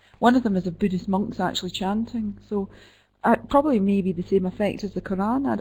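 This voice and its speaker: In a Scottish accent, a woman speaks at a medium pitch with a dark, mellow, somewhat breathy tone and ordinary pitch variation. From Scotland, Glasgow. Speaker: midwife and professor. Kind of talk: Q&A after an online lecture. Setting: web conference.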